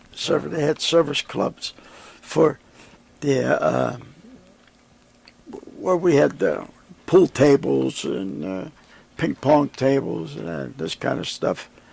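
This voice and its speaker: With noticeable background noise behind him, a man with an American accent speaks at a very slow pace with long, frequent pauses. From Western Pennsylvania. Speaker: war veteran. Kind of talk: interview answer.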